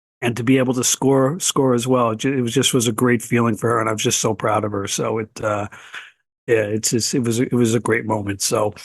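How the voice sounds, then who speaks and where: Against a quiet background, a man with an unremarkable speaking voice and medium pitch talks at a fairly quick pace with fairly even intonation. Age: 60s. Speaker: blind baseball association president and player. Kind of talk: podcast interview.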